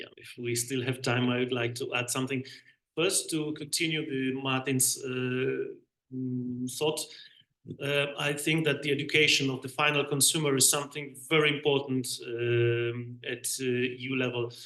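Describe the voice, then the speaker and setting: A man with a Polish accent, medium-pitched, bright and sharp in tone, monotone and flat in intonation, at a moderate pace. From Poland. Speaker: bee researcher, panelist. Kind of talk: panel debate. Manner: halting.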